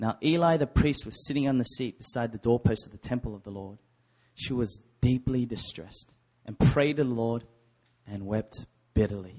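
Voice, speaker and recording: A man with an Australian accent talks at a moderate pace, his pitch medium and its variation ordinary. His tone is dark and mellow. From Sydney, Australia. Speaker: preacher. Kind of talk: sermon. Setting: church.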